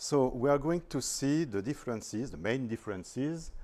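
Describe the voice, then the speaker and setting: A man's medium-pitched voice with a French accent, dark and mellow in tone, at a fairly slow pace. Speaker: astrophotographer, visiting speaker. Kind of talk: presentation. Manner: hesitant, careful non-native English.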